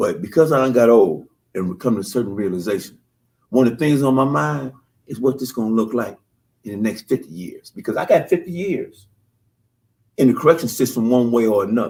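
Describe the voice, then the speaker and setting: A man speaks with lively intonation. He leaves long, frequent pauses. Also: big swings in loudness. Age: 60s. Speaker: exonerated former prisoner. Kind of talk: radio talk show discussion.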